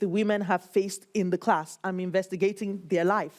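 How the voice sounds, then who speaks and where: With a Nigerian accent, a woman of medium pitch speaks with fairly even intonation. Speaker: PhD researcher. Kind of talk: interview.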